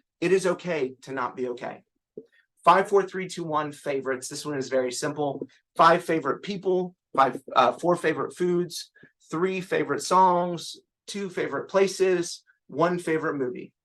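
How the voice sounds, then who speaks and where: A man talks at a moderate pace with a high pitch and ordinary pitch variation. The background is quiet. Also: big swings in loudness. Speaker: clinical social worker. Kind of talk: webinar presentation.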